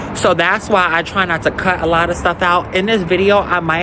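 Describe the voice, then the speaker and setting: A woman with an American accent speaks at a fairly low pitch and a fairly quick pace, in a monotone, flat intonation. Noticeable background noise is present. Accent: New York accent, thick when irritated. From New York. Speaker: lifestyle vlogger. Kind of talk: casual vlog chat. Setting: outdoors on a rooftop.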